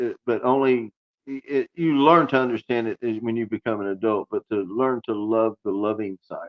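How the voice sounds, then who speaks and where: Here a man speaks with an American accent. His medium pitch shows ordinary variation at a moderate pace. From Southwest Florida, US. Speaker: entrepreneur, reality TV pitch contestant. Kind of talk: podcast interview.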